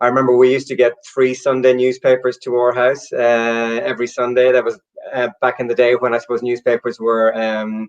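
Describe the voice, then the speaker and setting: With an Irish accent, a man talks at a fairly quick pace in a monotone, flat intonation, with hardly any pauses. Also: medium pitch for a man. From Ireland, Galway. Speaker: storyteller and copywriter. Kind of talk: interview. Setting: livestream. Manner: halting.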